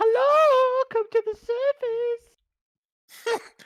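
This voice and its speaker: An extremely high pitch defines this put-on character voice. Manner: creepy sweet-talking.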